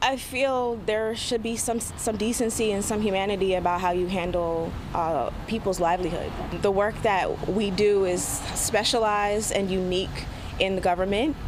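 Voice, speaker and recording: Against noticeable background noise, a woman talks at a moderate pace with a medium pitch and ordinary pitch variation. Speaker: laid-off federal worker being interviewed. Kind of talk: interview answer. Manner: emotional, reflective.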